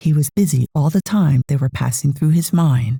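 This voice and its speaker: A woman with an American accent speaks in a very deep, low voice with a dark, mellow tone and a somewhat breathy quality. She talks at a fairly slow pace, with a dry, close sound and no echo. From United States. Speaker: audiobook narrator. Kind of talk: audiobook reading. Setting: home studio.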